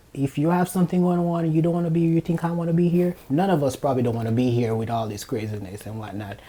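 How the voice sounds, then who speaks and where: With a fairly high pitch and lively intonation, a man speaks very fast with hardly any pauses. Background noise is noticeable. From Jamaica. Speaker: nurse. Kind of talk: casual chat.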